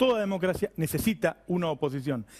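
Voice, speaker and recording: A man talks at a moderate speed, his intonation lively. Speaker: TV host and economic journalist. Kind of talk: TV editorial commentary.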